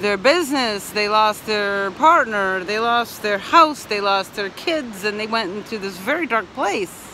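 Moderate pace, dry sound with no echo, and light background noise. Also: woman. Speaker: van life vlogger. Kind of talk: casual vlog chat. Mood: reflective, earnest. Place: beach. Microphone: phone near.

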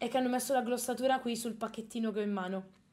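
With ordinary pitch variation, a woman talks in a fairly high voice. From Milan, Italy. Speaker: streamer and illustrator. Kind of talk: casual livestream chat. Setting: home livestream at desk. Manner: animated.

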